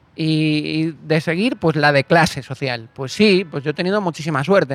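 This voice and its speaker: An ordinary speaking voice from a man, fairly high in pitch, with ordinary pitch variation at a moderate pace, in a dry, close sound with no echo. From Canary Islands, Spain (Galician family). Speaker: actor and screenwriter. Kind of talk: casual interview chat.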